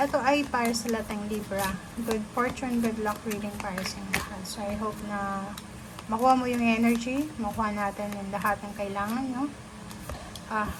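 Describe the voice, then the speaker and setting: Amid noticeable background noise and audible room echo, a soft-spoken woman with a fairly high pitch talks with fairly even intonation. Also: moderate pace. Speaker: tarot reader. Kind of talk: tarot reading.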